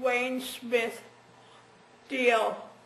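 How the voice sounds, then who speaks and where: In a room with audible echo, a woman speaks at a very slow pace in a high voice. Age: 80s+. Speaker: stroke patient. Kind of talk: testimony. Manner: halting.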